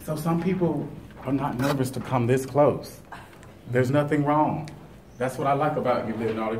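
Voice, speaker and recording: A man talks at a fairly quick pace in a fairly high pitch. Audible room echo and noticeable background noise are present. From United States. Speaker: speech evaluator at a speaking club. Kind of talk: speech evaluation to a club audience. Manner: fast.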